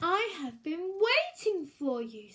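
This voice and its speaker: A woman performs a put-on character voice at an extremely high pitch. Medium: read story. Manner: slow, grave.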